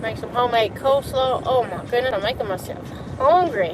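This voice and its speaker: Someone speaks with a Southern accent while music plays in the background. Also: woman. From US South. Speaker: live streamer. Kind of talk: casual chat.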